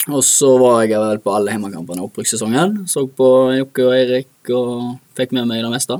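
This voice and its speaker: A man uses an ordinary speaking voice at a fairly quick pace, with ordinary pitch variation and hardly any pauses. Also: medium pitch for a man. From Norway, Bømlo (Hordaland). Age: 20s. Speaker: professional footballer. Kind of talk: interview. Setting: studio.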